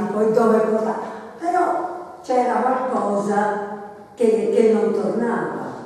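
A woman at a fairly high pitch, very slow pace and lively intonation, strong room echo, light background noise. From Florence, Italy. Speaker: literary presenter. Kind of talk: book presentation talk. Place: meeting room. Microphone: camera far.

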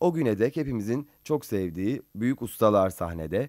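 A man's medium-pitched voice, dark and mellow in tone, with very wide pitch swings, a moderate pace, and a dry, echo-free sound over a quiet background. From Turkey. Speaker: radio host. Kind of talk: interview. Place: studio. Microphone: studio mic.

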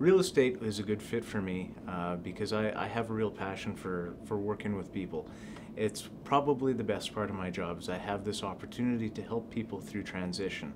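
Over noticeable background noise, a man with a Canadian Prairie accent talks at a fairly quick pace, his fairly low pitch showing ordinary variation. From southern Manitoba, Canada. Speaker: real estate agent. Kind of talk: self-introduction video. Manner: hesitant, many fillers. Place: office.

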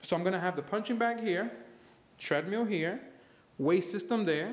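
A man talks at a moderate pace, his pitch varying in an ordinary way. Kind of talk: casual vlog chat. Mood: upbeat, relaxed. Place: garage. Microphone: phone near.

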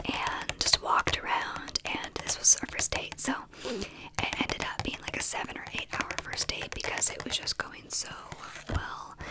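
A soft-spoken woman at a fairly slow pace over loud background noise. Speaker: content creator. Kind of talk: casual storytelling vlog chat. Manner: soft close-mic ASMR speech. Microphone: studio mic.

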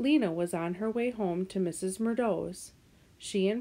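Pitch moves in an ordinary way while someone is reading aloud in a natural voice.

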